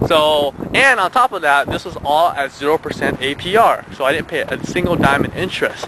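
Speaking at a moderate pace with hardly any pauses, a man uses a high pitch and lively intonation, the sound dry with no echo but with noticeable background noise. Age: 20s. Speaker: entrepreneur vlogger. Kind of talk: personal story vlog. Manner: hesitant, many fillers. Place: open country. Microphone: phone near.

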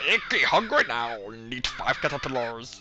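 A put-on character voice at a low-to-middle pitch. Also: moderate pace. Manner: demanding, cartoonish.

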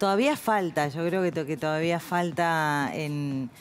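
A woman speaks at a very deep, low pitch with ordinary pitch variation. Her pace is fairly slow, over light background noise. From Uruguay. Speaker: journalist and professional announcer. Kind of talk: interview answer. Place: studio. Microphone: headset.

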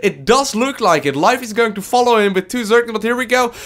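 Over noticeable background noise, a man talks very fast in a high, animated voice. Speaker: esports commentator. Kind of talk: live esports commentary on a StarCraft 2 match, play-by-play. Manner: animated, quick play-by-play, reacting to each move as it happens; casual, chatty, with fillers and hedges like 'um' and 'if I'm not mistaken'.

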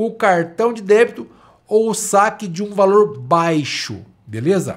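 A man speaks at a fairly slow pace in an animated tone, his pitch high for a man. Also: quiet background. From Brazil, Paraná (Londrina region); Paraná, Brazil. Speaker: social security lawyer, YouTuber. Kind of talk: live stream talk with viewer chat.

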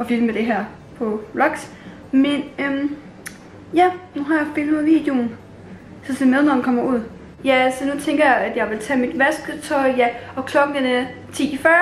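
A woman's high voice at a fairly slow pace, fairly even in intonation, with audible room echo and light background noise. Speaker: vlogger. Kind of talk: casual vlog chat. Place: home room. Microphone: phone near.

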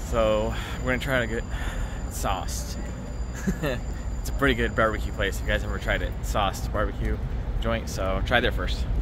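A man talks at a moderate pace with a dry, echo-free sound and noticeable background noise. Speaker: vlogger. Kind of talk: casual vlog chat. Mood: excited, cheerful. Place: street. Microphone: phone near.

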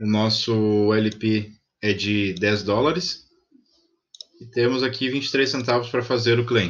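Speaking at a fairly slow pace, a man with a fairly low pitch and ordinary pitch variation has an ordinary speaking voice. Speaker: crypto investing YouTuber. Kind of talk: screen-recorded tutorial. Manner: casual, thinking aloud.

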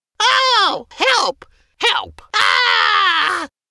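Shouting in a put-on character voice, a man pitches his voice extremely high.

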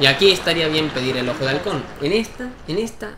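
A man with a fairly high pitch speaks at a moderate pace with lively intonation. Audible room echo and noticeable background noise fill the recording. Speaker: gaming YouTuber. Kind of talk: gameplay commentary. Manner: animated.

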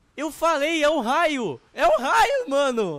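A man talks at a very slow pace. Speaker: gaming youtuber. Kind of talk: gameplay commentary. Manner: excited.

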